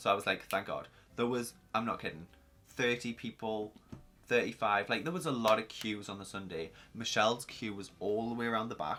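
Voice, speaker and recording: A bright, sharp tone comes through at a fairly quick pace, with ordinary pitch variation. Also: man, medium pitch for a man. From northern England, Newcastle. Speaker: YouTuber. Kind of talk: storytime vlog. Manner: casual, rambling with many fillers.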